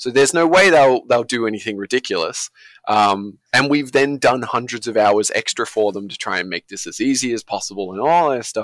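A man with an Australian accent speaks at a fairly quick pace, medium in pitch, with lively intonation. The recording is very clean, with a silent background and a dry, close sound with no echo. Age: 30s. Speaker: indie game studio founder. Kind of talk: casual interview.

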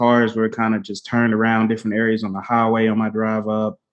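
In a quiet background, a man talks in a plain, everyday voice at medium pitch. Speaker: podcast co-host. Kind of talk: casual chat. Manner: casual, conversational.

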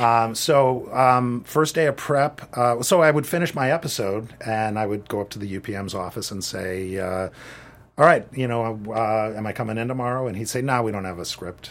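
This is a man with an ordinary speaking voice. His pitch is medium and varies in an ordinary way. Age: 50s. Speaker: assistant director and film teacher. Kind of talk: interview.

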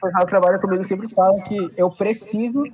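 The speaker is a man with a high pitch. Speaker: podcast host. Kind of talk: casual chat.

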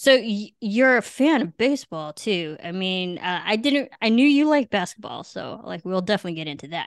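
Against a quiet background, a woman with a General American accent speaks at a fairly quick pace, her medium-pitched voice showing very wide pitch swings and big swings in loudness. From US Midwest. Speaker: podcast host. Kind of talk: casual chat.

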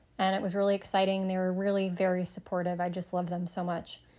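On a very clean recording with a silent background, the woman talks at a moderate pace. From US Midwest, Michigan (Sterling Heights). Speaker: psychic medium and podcast host. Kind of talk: solo podcast monologue.

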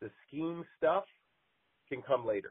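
Talking at a moderate pace with ordinary pitch variation, a man uses an ordinary speaking voice with an American accent. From Montana. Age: 40s. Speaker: college basketball coach. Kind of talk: interview.

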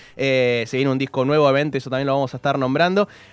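A man talks with a Rioplatense accent. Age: 30s. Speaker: radio host. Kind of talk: casual chat.

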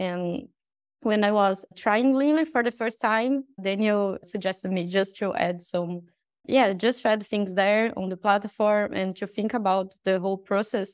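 A woman with a Brazilian accent speaks at a fairly slow pace. She has a medium pitch. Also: ordinary pitch variation. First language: Portuguese. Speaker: UX researcher. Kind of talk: casual chat. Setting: video call.

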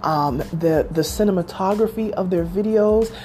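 A woman with an American accent speaks in a plain, everyday voice at a medium pitch. Her pace is fairly slow and her pitch varies in an ordinary way. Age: 40s. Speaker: podcast host. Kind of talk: casual chat.

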